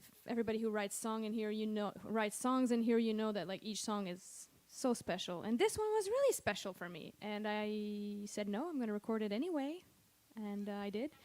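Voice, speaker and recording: A woman speaks with a slight French Canadian accent at a fairly high pitch. Her pitch varies in an ordinary way, and her loudness swings a lot. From Quebec, Montreal. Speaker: singer-songwriter. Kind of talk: stage banter between songs. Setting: stage with audience. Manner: casual, hesitant with fillers.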